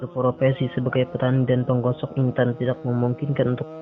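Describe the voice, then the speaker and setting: Speaking at a fairly quick pace, a man keeps to a medium pitch. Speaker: radio announcer. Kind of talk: documentary narration.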